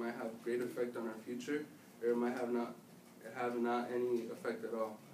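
A man at a medium pitch with an American accent, audible room echo and light background noise. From United States. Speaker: student giving class speech; presenter. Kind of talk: speech to an audience. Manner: halting. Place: classroom. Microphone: camera far.

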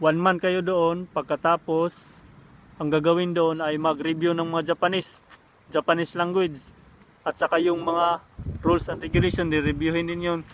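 A man with a high pitch speaks in a monotone, flat intonation. His pace is moderate. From Visayas or Mindanao, Philippines. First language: Cebuano (Bisaya) (speaking Tagalog). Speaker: vlogger, overseas worker. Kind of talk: casual vlog talk. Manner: halting, with many fillers.

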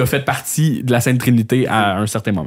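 A plain, everyday voice, this man talks at a medium pitch and a fairly quick pace. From Quebec, L'Assomption. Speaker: podcast host. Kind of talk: casual chat.

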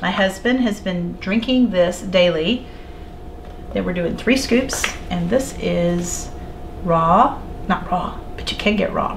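The speaker is a woman. Light background noise can be heard. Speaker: homesteading cooking video host. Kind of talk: cooking tutorial. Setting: home kitchen. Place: kitchen.

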